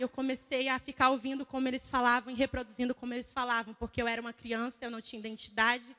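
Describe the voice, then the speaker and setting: A woman speaks very fast in a high-pitched, bright, sharp, animated tone, with hardly any pauses. Her loudness swings widely, and the sound is dry and close with no echo. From Brazil, Ceará (Fortaleza), moved to São Paulo as a child. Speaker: conference speaker. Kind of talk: sermon.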